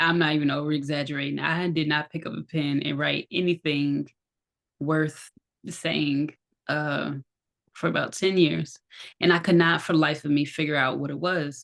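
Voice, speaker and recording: A woman with a very deep, low pitch and monotone, flat intonation at a moderate pace. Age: 30s. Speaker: podcast host and massage therapist. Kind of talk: casual chat. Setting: outdoors. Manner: halting.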